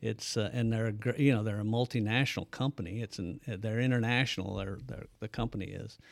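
A man with an American accent speaks at a fairly quick pace and medium pitch, with hardly any pauses and fairly even intonation. It is an unremarkable speaking voice on a very clean recording with a silent background. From US Midwest, southern Illinois (Bethalto). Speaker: businessman and cattle farmer. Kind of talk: casual interview. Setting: studio.

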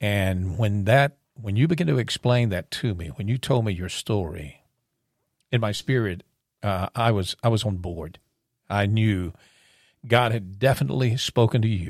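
Heard as a dry, close sound with no echo, a man with an ordinary speaking voice talks at a moderate pace and a fairly low pitch with lively intonation. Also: very clean recording, silent background. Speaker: podcast guest and intro voice. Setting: studio.

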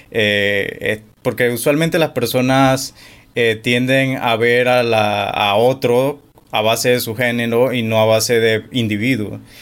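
A man with medium pitch talks very slowly, his intonation fairly even. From Panama. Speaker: podcast host. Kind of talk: interview.

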